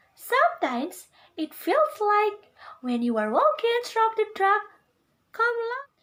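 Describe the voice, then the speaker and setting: Squeaky and extremely high, a woman's put-on character voice moves at a fairly slow pace with very wide pitch swings. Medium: read story.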